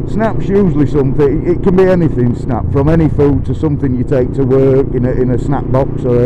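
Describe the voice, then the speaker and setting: Noticeable background noise sits behind a man speaking at a moderate pace, his medium pitch showing ordinary variation. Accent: Yorkshire. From Yorkshire, England. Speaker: motorcycle vlogger. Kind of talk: casual talk to camera. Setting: outdoors.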